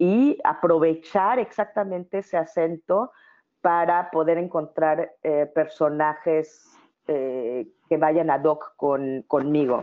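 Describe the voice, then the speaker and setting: Her pitch fairly low for a woman, she speaks with ordinary pitch variation. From Mexico City. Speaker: actress and public speaking coach. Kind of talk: interview. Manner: hesitant fillers, frequent repetitions.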